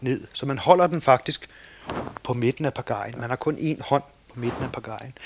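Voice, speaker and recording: A man speaks at a medium pitch and moderate pace with ordinary pitch variation and big swings in loudness. The sound is dry and close with no echo, over noticeable background noise. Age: 50s. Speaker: kayak instructor and boatbuilder. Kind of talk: casual interview. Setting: at home in the countryside.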